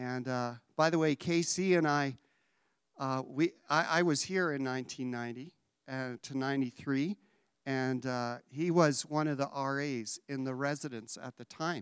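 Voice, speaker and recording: A man speaks in a normal speaking voice at a moderate pace with fairly even intonation, captured in a very clean recording with a silent background and a dry, close sound with no echo. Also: fairly high pitch for a man. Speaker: college staff member introducing speaker. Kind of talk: introduction and prayer. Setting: chapel with audience.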